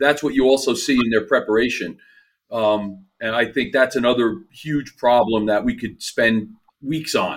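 Heard over a silent background in a very clean recording, the speaker uses a New Jersey accent, ordinary pitch variation and a moderate pace. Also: man. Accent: New Jersey American. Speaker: performance coach. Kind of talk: casual chat.

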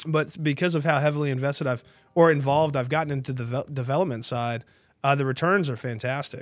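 A man with an American accent speaks very fast at a fairly high pitch. His intonation stays fairly even, and the recording is very clean with a silent background. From North Texas, Tarrant County (Dallas-Fort Worth). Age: 30s. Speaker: real estate agent. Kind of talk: casual interview chat.

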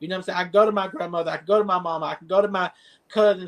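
A high-pitched man's voice with a Southern US accent and fairly even intonation. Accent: Southern US (Georgia). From South Georgia, US. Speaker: social media influencer. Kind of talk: casual interview.

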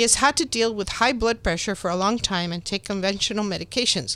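A woman with a bright, sharp tone and ordinary pitch variation speaks on a very clean recording with a silent background. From Mexico. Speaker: doctor and health show host. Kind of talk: reading introduction aloud; interview.

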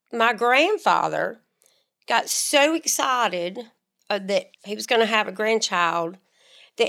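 On a very clean recording with a silent background, a woman with an Alabama accent speaks at a fairly high pitch. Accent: US Southern (Alabama). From northern Alabama (Muscle Shoals). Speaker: podcast co-host. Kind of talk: casual chat.

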